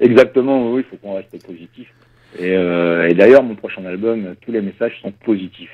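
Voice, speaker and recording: A man's fairly low-pitched voice, a normal speaking voice, with ordinary pitch variation, big swings in loudness and a moderate pace. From France. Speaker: reggae singer. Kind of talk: radio interview.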